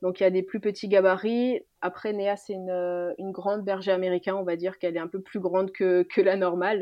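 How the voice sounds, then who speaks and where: A woman's monotone, flat delivery at a fairly quick pace with hardly any pauses. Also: medium pitch for a woman. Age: 20s. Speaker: nurse. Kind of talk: casual chat.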